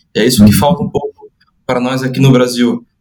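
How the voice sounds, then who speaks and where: Intonation from this man stays fairly even. He talks very fast at a medium pitch. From Brazil, Santa Catarina. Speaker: podcast host and football coach. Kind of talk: podcast interview. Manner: hesitant, repeats words.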